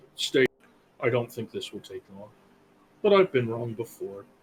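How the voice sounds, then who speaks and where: A man's put-on character voice at a medium pitch and a moderate pace. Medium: actual play. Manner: slow, formal, terse.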